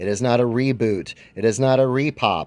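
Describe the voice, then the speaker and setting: A shaky male voice with ordinary pitch variation. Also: very clean recording, silent background. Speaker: comic book youtuber. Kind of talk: casual show-and-tell video. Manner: shaky voice.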